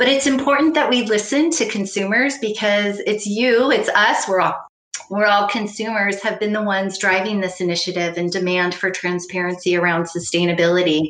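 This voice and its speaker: A woman with an American accent, a normal speaking voice, medium pitch, ordinary pitch variation and a moderate pace. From US, farming family. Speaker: panel moderator and sustainability consultant. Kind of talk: moderated panel discussion.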